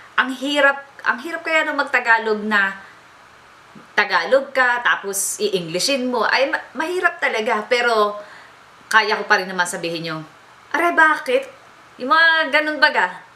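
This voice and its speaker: Speaking at a moderate pace with an Aurora accent, a woman uses a high pitch and very wide pitch swings. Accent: Filipino, Baler regional. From Baler, Aurora, Philippines. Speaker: beauty blogger. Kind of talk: casual talk to camera.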